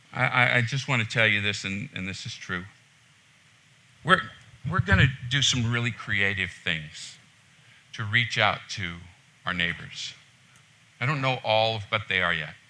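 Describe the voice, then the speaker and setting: Loud and bright with a sharp tone, a man speaks at a fairly low pitch with ordinary pitch variation and long, frequent pauses. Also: moderate pace. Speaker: pastor. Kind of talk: sermon. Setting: church. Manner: loud, passionate.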